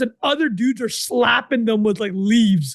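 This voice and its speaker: Against a quiet background, a man speaks loudly in an extremely high pitch with an animated tone and ordinary pitch variation. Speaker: podcast co-host. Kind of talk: casual chat. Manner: fast, animated.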